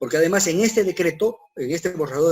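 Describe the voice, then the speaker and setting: A man talks at a fairly quick pace. His voice sits fairly high, with ordinary pitch variation. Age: 60s. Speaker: civil engineer. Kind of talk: lecture. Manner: halting, many fillers.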